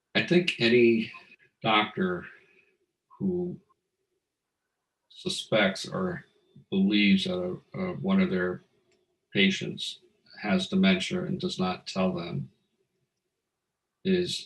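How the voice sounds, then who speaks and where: A man speaks at a very slow pace, his medium pitch swinging very widely. His voice is somewhat breathy, with long, frequent pauses. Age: 60s. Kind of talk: testimony. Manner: halting, many fillers.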